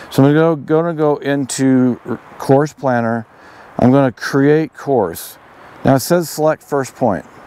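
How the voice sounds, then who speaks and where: A man's fairly high voice at a fairly slow pace, with ordinary pitch variation, long, frequent pauses and big swings in loudness, over noticeable background noise. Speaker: outdoor gear video creator. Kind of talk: tutorial. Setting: outdoors. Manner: halting.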